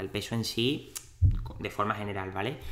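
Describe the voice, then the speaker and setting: A man's medium-pitched voice with an Andalusian accent. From Andalusia, Cádiz city. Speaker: dietitian and podcast host. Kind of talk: interview. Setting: in-person studio at clinic.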